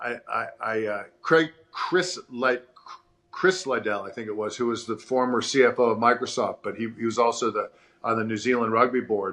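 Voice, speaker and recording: A man with an American accent speaks at medium pitch. His pitch variation is ordinary. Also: moderate pace. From New York City, with three childhood years in Sydney. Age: 60s. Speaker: former rugby player and business founder. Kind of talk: casual interview chat. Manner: halting, many repeated words.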